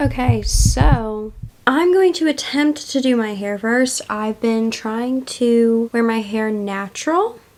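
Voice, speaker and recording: Amid noticeable background noise, a woman with a fairly high pitch speaks at a very slow pace. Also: ordinary pitch variation. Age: 20s. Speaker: lifestyle vlogger. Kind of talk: casual vlog chat. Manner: high-pitched when filming; rambling.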